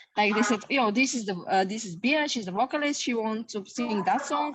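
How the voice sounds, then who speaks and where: A woman speaks with a fairly high pitch. Noticeable background noise sits behind her. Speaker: rock band guitarist. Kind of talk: interview. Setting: video call.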